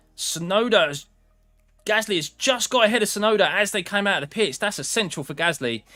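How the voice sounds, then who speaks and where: With music in the background, a man with an English accent projects a raised, high voice full of very wide pitch swings. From England. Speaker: sim racing streamer. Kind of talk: live watchalong commentary. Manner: casual, conversational.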